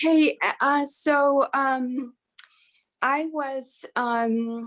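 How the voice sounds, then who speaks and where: Speaking very slowly in an American accent, a woman keeps her high-pitched voice flat and monotone. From Colorado, US. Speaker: massage therapist and wellness coach. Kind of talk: casual interview chat. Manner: halting, many fillers.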